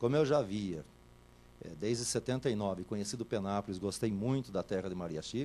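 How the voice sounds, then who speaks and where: Lively intonation runs through the man's dark, mellow tone. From São Paulo interior (Itatiba). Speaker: radio host. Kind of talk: interview. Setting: TV studio.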